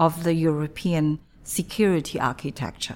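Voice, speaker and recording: On a very clean recording with a silent background, a woman speaks at a fairly low pitch with a Chinese accent. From China. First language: Mandarin Chinese. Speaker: diplomat. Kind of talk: interview. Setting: embassy office. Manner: halting.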